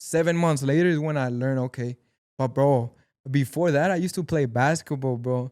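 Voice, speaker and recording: Speaking with a Mexican accent, a man has a fairly high pitch and fairly even intonation at a fairly quick pace. The recording is very clean, with a silent background. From Mexico. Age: 20s. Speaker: actor and amateur boxer. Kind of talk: casual chat.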